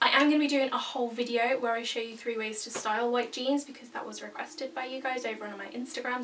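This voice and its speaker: A woman with a British accent speaks at a very fast pace and high pitch, with ordinary pitch variation. Noticeable background noise is present. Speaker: fashion vlogger. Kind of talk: casual vlog talk to camera. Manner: loud, projecting. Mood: upbeat, chatty. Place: home room. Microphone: camera far away; camera far.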